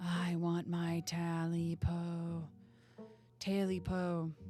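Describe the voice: Over music in the background, a woman uses a put-on character voice that is hoarse and croaky, fairly low in pitch, monotone and flat, and very slow.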